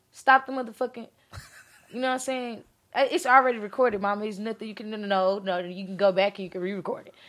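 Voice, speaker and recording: A woman with an American accent talks very fast in an animated tone, her fairly high pitch paired with big swings in loudness. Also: ordinary pitch variation. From Beaumont, Texas. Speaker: rapper. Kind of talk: casual chat.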